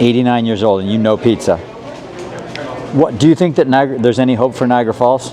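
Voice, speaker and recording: A man with an American accent speaks very fast at medium pitch with an animated tone and long, frequent pauses. Room echo is audible, and there is noticeable background noise. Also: ordinary pitch variation. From western New York. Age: 50s. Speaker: travel vlogger. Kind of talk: vlog narration to camera. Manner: casual, animated.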